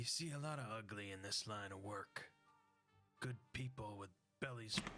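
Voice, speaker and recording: A raspy, gravelly, growling put-on character voice speaks at a moderate pace. Faint music plays in the background. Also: man, medium pitch for a man. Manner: weary, world-worn.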